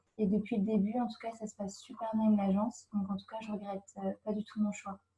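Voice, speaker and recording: A woman at a very fast pace, somewhat breathy, fairly high in pitch, in a monotone, flat intonation. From France, Brittany (Brest). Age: 20s. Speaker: au pair. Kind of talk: interview. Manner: hesitant, many fillers.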